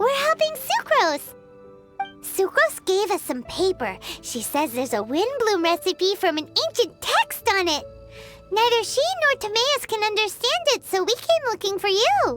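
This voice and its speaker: An extremely high-pitched, put-on character voice swings very widely in pitch at a moderate pace, with clear music playing in the background. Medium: machinima. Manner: refers to herself in third person.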